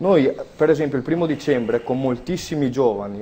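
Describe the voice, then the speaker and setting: A man talks at a fairly quick pace. His medium-pitched voice has a dark, mellow tone. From Veneto, Italy. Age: 20s. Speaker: political activist. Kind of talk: televised political debate. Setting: TV studio. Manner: animated.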